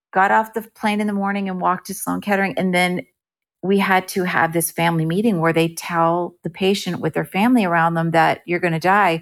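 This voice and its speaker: On a very clean recording with a silent background, a woman with an ordinary speaking voice talks in an American accent at a medium pitch and a fairly quick pace, with ordinary pitch variation. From New Jersey, US. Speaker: actress and improv performer. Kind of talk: casual interview.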